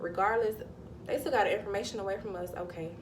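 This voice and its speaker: A woman with a Southern US accent, with audible room echo. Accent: Southern US (Georgia). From US South, Georgia. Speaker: spiritual vlogger. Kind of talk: casual vlog monologue. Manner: animated; halting, self-correcting.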